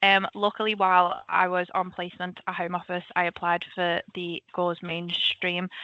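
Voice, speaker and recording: With hardly any pauses, a woman speaks at a moderate pace and fairly low pitch in a monotone, flat intonation. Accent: Liverpool. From Liverpool, England. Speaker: government analyst. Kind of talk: career talk presentation. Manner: casual, many filler ums.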